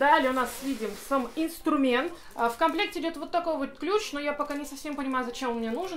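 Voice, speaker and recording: A woman speaks very fast at a high pitch over light background noise. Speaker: music channel host. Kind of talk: casual unboxing review. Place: home room.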